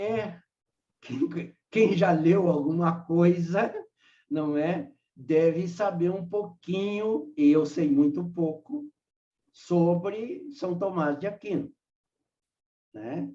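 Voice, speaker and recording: With a high pitch and a dark, mellow tone, a man speaks at a very slow pace, leaving long, frequent pauses. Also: ordinary pitch variation. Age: 80s+. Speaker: spiritist lecturer. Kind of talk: lecture discussion. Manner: halting.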